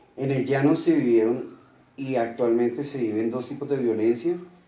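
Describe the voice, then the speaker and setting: Audible room echo and noticeable background noise surround a man talking at a moderate pace and medium pitch. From Bogotá, Colombia. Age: 60s. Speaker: interviewee. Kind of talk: interview.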